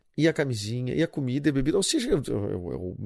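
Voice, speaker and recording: A man speaks at a fairly quick pace in a dark, mellow tone with vocal fry. The recording is very clean, with a silent background. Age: 30s. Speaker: podcast host. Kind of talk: casual monologue. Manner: animated.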